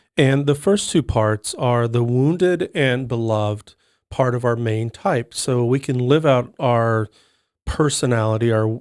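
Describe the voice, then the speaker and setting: On a very clean recording with a silent background, a man speaks at a fairly slow pace in a medium pitch with ordinary pitch variation. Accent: American. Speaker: podcast co-host, enneagram coach. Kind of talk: podcast panel discussion.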